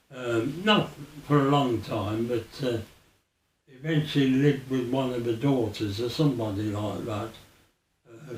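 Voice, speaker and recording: With a Birmingham accent and medium pitch, a man talks at a fairly slow pace with long, frequent pauses and ordinary pitch variation, and audible room echo surrounds him. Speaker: former air force serviceman. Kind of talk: oral history interview. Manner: halting.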